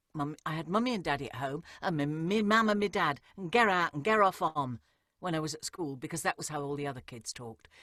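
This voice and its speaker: A fairly low-pitched woman with a Welsh accent, very wide pitch swings and a fairly quick pace, on a very clean recording with a silent background and a dry, close sound with no echo. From England, East Midlands (born in Wales). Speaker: actress and audiobook narrator. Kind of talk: interview.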